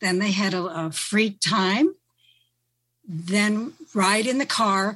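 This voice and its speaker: In a very clean recording with a silent background, a woman speaks with medium pitch in an American accent. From western upstate New York. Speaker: retired teacher and freelance writer. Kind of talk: panel discussion. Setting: video conference call.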